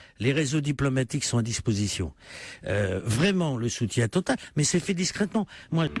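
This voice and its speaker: A man's somewhat breathy, medium-pitched voice at a moderate pace, with very wide pitch swings and very even loudness, on a very clean recording with a silent background. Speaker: politician. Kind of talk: radio interview answer. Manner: persuasive, salesman-like.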